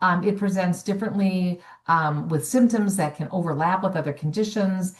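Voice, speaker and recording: A woman's somewhat breathy voice at a medium pitch, with ordinary pitch variation. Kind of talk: webinar presentation. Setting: online webinar. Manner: fast.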